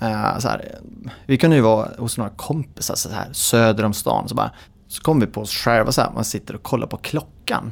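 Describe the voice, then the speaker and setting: With vocal fry, a man delivers his words at a fairly quick pace. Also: medium pitch for a man, ordinary pitch variation. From Sweden, Dalarna (Idre). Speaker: marketing manager. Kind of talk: casual interview. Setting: mountain top.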